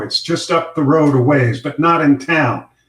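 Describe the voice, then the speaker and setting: A man talks at a fairly slow pace. His voice is fairly high in pitch and somewhat breathy. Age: 60s. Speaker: retired news anchor and fiction author. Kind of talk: reading aloud; casual chat.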